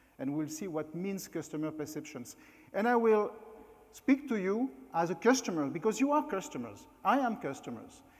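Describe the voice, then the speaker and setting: A man at a moderate pace, high-pitched, with very wide pitch swings. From France. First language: French. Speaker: keynote speaker, former hotel executive. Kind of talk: conference talk. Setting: stage at company meeting.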